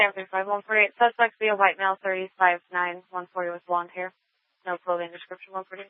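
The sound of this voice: The speech comes fast with little pitch movement, in a clear, smooth tone and a dry, close sound with no echo.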